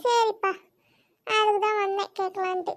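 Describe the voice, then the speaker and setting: A woman's squeaky, cartoonish character voice, extremely high in pitch, flat and monotone at a moderate pace. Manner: chatty, repetitive.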